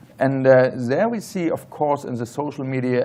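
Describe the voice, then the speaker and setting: A man of medium pitch with a German accent, at a moderate pace. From Germany. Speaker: tech entrepreneur, panelist. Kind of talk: panel discussion.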